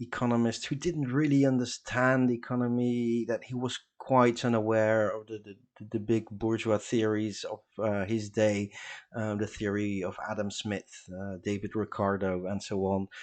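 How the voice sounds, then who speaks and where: A man with a Dutch accent speaks at a medium pitch and moderate pace, with fairly even intonation over a quiet background. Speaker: political educator reading group leader. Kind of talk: lecture. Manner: halting, many fillers.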